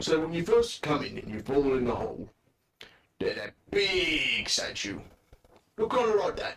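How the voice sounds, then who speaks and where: Using a put-on character voice pitched high, a man speaks at a moderate pace and leaves long, frequent pauses. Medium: actual play. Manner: rambling, hesitant.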